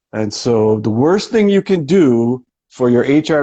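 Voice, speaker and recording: A man uses an ordinary speaking voice at a medium pitch, with lively intonation. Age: 50s. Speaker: chiropractor and brain researcher. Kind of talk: casual interview. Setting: live video session.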